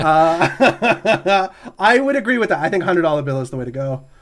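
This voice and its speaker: A loud male voice. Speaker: podcast co-host. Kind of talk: casual chat.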